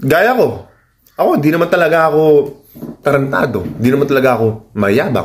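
Lively in intonation and fairly high in pitch, a man speaks at a fairly quick pace yet leaves long, frequent pauses. His loudness stays very even, with light background noise. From Philippines. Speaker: YouTuber and fighter issuing call-outs. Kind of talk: call-out rant vlog. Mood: challenging, confrontational but calm. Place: home room. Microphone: phone near.

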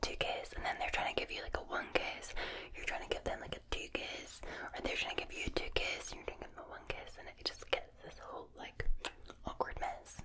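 A soft-spoken woman whispers at a fairly quick pace, her loudness swinging widely. Noticeable background noise sits behind her. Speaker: ASMR creator. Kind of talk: soft ASMR chat to the viewer. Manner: soft close-mic whisper. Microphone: studio mic.

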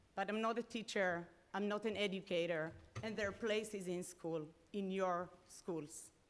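A woman with a non-native accent, medium in pitch, at a fairly slow pace with fairly even intonation. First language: not English. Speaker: parent speaking at public comment. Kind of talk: public comment at school board meeting. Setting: school board meeting.

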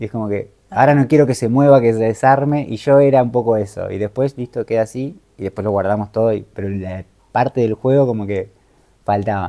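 Against a quiet background, a man with a dark, mellow tone talks at a fairly quick pace with ordinary pitch variation. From Argentina, Moreno, Buenos Aires province; Buenos Aires province, Argentina. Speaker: travel content creator and life coach; travel content creator, life coach. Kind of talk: interview. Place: home room.

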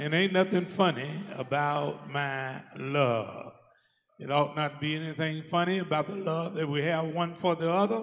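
An animated man at a fairly slow pace, his pitch varying in an ordinary way. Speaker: preacher. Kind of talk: sermon. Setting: church. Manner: animated call-and-response preaching, urging the congregation to answer amen. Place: church. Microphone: handheld.

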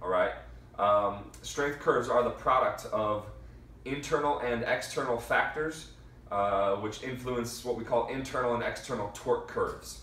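Room echo is clearly audible as a man talks at a moderate pace. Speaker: strength coach. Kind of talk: lecture. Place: empty room. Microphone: camera far.

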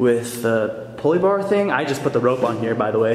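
The speaker talks at a fairly quick pace with lively intonation, with light background noise and audible room echo in the recording. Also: man. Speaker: fitness vlogger. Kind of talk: casual vlog chat. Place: gym. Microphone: phone near.

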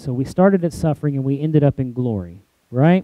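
A fairly high male voice at a moderate pace, with ordinary pitch variation, a dry sound with no echo and a quiet background. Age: 40s. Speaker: pastor. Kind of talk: sermon. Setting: church. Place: church. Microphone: headset.

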